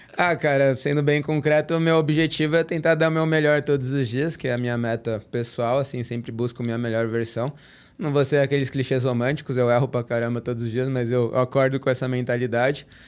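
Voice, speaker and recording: With an unremarkable speaking voice, a man talks fairly quickly at a medium pitch and hardly pauses. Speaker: tennis content creator. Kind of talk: casual podcast chat.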